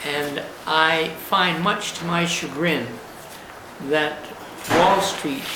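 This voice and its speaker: A man speaks in a fairly high pitch. Room echo is audible, along with noticeable background noise. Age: 80s+. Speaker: elderly war veteran. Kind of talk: personal video monologue. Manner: halting, with frequent uh pauses.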